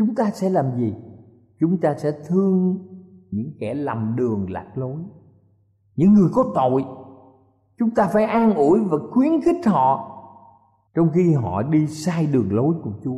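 A man's dark, mellow tone at a fairly high pitch, with very wide pitch swings, a very slow pace and long, frequent pauses. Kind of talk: sermon. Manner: formal, earnest preaching, addressing listeners respectfully.

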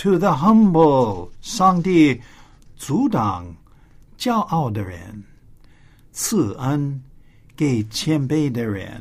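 An English accent in a very clean recording over a silent background. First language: English (speaking Chinese). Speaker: school principal, English teacher. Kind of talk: bilingual English lesson.

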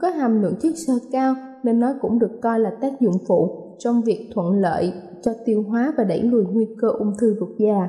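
A woman's fairly high voice at a moderate pace, with very even loudness and ordinary pitch variation, over noticeable background noise. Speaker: radio presenter. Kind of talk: scripted health talk. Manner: formal.

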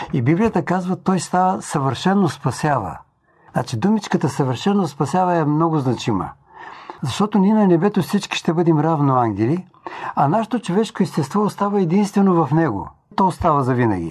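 His voice is high for a man, with lively intonation, very even loudness and a moderate pace. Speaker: preacher. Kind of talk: sermon-style talk.

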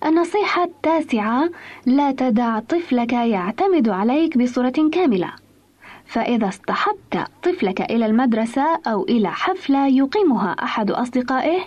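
Her high pitch swings very widely as a woman speaks at a fairly slow pace with very even loudness. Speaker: radio program presenter. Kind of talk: scripted radio talk on parenting. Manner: formal.

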